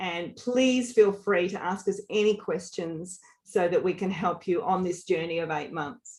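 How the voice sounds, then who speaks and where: A woman speaks in a medium pitch with ordinary pitch variation and an Australian accent. Her pace is fairly slow, with hardly any pauses. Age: 50s. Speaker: leadership coach. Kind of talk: webinar presentation. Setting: online webinar. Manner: animated.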